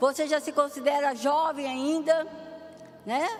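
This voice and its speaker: A woman's high-pitched voice delivers her words at a fairly slow tempo. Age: 60s. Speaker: pastor. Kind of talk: sermon.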